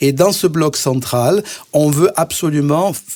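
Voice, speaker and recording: A man talks with lively intonation. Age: 60s. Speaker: cardiologist and mayoral candidate. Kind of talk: radio interview.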